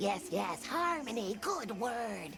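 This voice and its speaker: Clear background noise sits behind a put-on character voice with a fairly high pitch. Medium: video game. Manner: quaint broken grammar.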